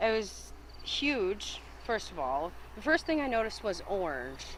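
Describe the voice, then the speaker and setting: A woman with an American accent and a medium pitch speaks at a moderate pace with very wide pitch swings and vocal fry, with audible room echo. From upstate New York, Whitehall. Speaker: eyewitness. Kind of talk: interview.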